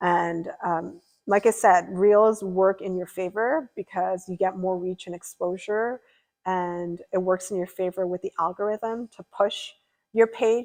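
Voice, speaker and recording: An unremarkable speaking voice talks at a fairly slow pace with fairly even intonation, in a dry, close sound with no echo. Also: woman. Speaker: streamer. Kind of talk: live stream chat.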